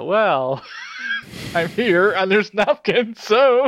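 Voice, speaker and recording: Using a put-on character voice with a high pitch, a man cackles in an amused tone at a very slow pace. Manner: cackling, amused.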